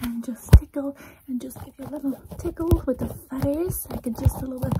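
Over loud background noise, a soft-spoken woman talks with ordinary pitch variation. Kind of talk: soft ASMR roleplay talk. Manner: soft, hushed ASMR speaking. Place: home room. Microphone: phone near.

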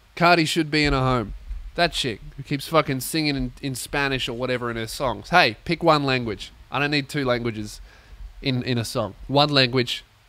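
The voice is loud, with a bright, sharp tone and an Australian accent. It moves at a moderate pace, with a dry sound and no echo. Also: man. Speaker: comedian and podcast host; comedian, podcast host. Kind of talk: casual comedic monologue. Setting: warehouse recording space. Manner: loud, ranting. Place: home room. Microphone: studio mic.

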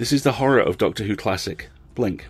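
Lively intonation marks this man's somewhat breathy speech, which runs fairly fast. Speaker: podcast host. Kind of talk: scripted intro and outro, casual commentary.

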